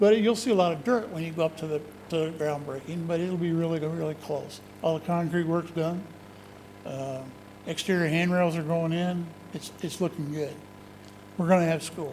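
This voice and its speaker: Speaking at a moderate pace, a man uses a high pitch and fairly even intonation. Long pauses come often. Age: 60s. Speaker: school district facilities official. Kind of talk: board meeting report. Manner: casual, conversational.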